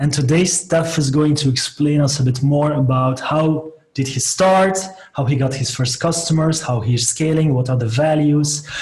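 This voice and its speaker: In a room with audible echo, a man with a fairly high pitch talks at a moderate pace, his intonation fairly even and his loudness very even. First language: Dutch (Flemish). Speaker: software company co-founder and webinar host. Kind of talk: interview. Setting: video call webinar.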